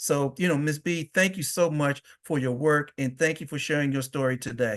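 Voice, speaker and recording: A man speaks in a plain, everyday voice at a fairly high pitch and a fairly quick pace. His intonation is fairly even, and the background is quiet. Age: 60s. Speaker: webinar moderator, advocacy director. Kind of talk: webinar moderation. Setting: webinar.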